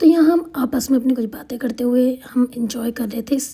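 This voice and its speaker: A woman's high-pitched voice at a moderate pace amid noticeable background noise. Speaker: vlogger. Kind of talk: vlog voiceover narration. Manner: casual, hesitant.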